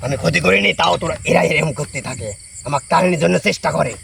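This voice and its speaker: A man does a put-on character voice at a fairly high pitch and a fairly quick pace. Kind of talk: possession trance speech. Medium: voice reel. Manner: rough, defiant, uses rude familiar address.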